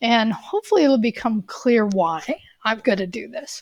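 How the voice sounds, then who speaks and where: Here a woman uses a normal speaking voice at a fairly high pitch and a moderate pace. The sound is dry and close, with no echo. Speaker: college coding instructor. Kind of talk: tutorial.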